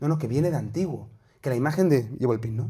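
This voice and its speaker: Over audible room echo, a man talks at a very fast pace in a dark, mellow, somewhat breathy voice of medium pitch with lively intonation. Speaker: priest and theology teacher. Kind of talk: lecture.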